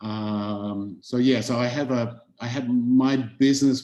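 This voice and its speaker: A man's dark, mellow tone with an Australian accent and a monotone, flat intonation. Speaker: chef and food entrepreneur. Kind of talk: webinar panel introduction.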